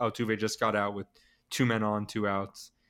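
In an American accent, a man speaks in a plain, everyday voice at a medium pitch and moderate pace, on a very clean recording with a silent background. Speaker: sports podcast co-host. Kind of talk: casual sports chat.

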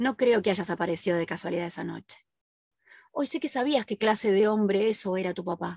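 A woman with a Rioplatense accent talks at a fairly quick pace and medium pitch, her intonation lively, in a dry, close recording with no echo and a quiet background. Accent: Argentine Rioplatense Spanish. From Argentina, southern (Ushuaia). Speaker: podcast host, forensic criminologist. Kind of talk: first-person testimony narration.

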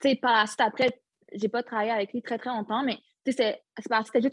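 The recording is dry and close with no echo over a quiet background. A woman talks very fast at a fairly high pitch. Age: 20s. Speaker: retired footballer. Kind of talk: interview.

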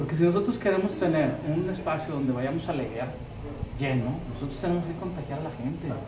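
Room echo and noticeable background noise surround speech delivered fairly fast. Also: man, fairly high pitch for a man, ordinary pitch variation. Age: 50s. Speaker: radio host and musician. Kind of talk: casual interview chat. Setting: live stream from a restaurant.

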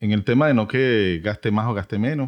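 A man's normal speaking voice, fairly low in pitch, at a moderate pace, dry and close with no echo against a quiet background. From Venezuela. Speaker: podcast host, automotive educator. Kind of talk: casual educational chat.

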